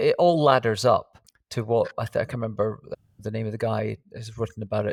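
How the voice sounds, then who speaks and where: A man with a plain, everyday voice and fairly low pitch speaks at a moderate pace, the sound dry and close with no echo, on a very clean recording with a silent background. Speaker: podcast host. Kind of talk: podcast intro and interview questions.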